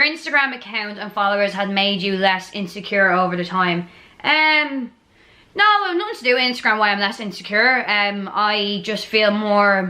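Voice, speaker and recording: In a strong Dublin accent, a woman speaks at a medium pitch and a moderate pace with ordinary pitch variation. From Ireland, Dublin. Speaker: YouTuber. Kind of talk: casual Q&A chat. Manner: animated.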